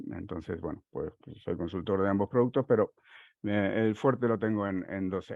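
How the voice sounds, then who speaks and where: A man with a Uruguayan accent speaks at a moderate pace in a fairly low pitch, with ordinary pitch variation. His loudness swings widely, and the sound is dry with no echo against a quiet background. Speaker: software consultant; conference presenter. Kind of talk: technical conference talk. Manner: halting, many fillers. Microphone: headset.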